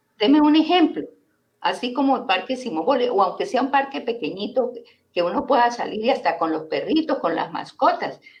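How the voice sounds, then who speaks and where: A fairly quick pace with very wide pitch swings. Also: woman. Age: 60s. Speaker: teacher and environmental activist. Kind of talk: interview on local politics. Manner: animated.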